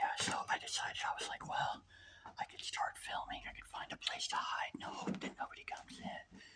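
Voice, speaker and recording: A whisper, delivered fairly quickly. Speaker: urban explorer vlogger. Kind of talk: walkthrough vlog narration. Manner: whispering; hesitant, filler-heavy.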